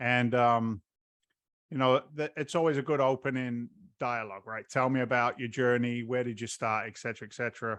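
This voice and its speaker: A man with an American accent speaks at a medium pitch and a fairly quick pace, his intonation fairly even, over a quiet background. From England (London). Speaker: real estate investor and former firefighter. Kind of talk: podcast interview. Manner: halting, many repetitions.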